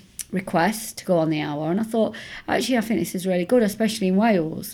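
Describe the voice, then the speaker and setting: In an East Midlands accent, a woman speaks with a dark, mellow tone and ordinary pitch variation. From Nottingham, England. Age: 50s. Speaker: academic and activist. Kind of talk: interview.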